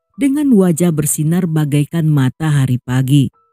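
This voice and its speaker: The speaker proceeds fairly slowly while music runs in the background. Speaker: storyteller. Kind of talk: true crime narration.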